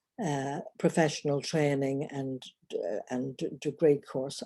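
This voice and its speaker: With an Irish accent, a woman speaks at a moderate pace in a dark, mellow tone. The recording is very clean, with a silent background. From Northern Ireland. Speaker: relationship coach. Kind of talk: personal vlog monologue. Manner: halting.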